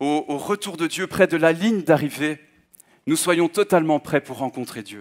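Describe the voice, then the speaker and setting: A man's fairly high voice at a fairly slow pace, with ordinary pitch variation, big swings in loudness and long, frequent pauses against a quiet background. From Belgium (Hainaut, Manage); Belgium. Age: 20s. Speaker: guest preacher. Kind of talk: sermon. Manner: halting, frequent hesitations. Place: church. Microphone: headset.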